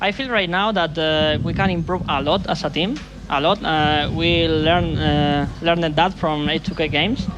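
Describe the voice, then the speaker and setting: A man's fairly high voice in a Spanish accent, at a moderate pace with ordinary pitch variation, audible room echo and music in the background. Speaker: pro esports player. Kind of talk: post-match interview. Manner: halting.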